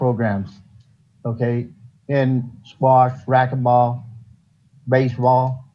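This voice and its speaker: A somewhat breathy man with an American accent, dark and mellow in tone, amid audible room echo. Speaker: new parks commissioner, sports coach. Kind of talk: public meeting. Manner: halting.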